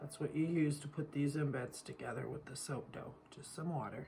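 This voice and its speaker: This woman's voice is very deep and low, with a dark, mellow tone and vocal fry. Her intonation is flat and monotone. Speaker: soap-making craft youtuber. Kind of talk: tutorial. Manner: casual, chatty.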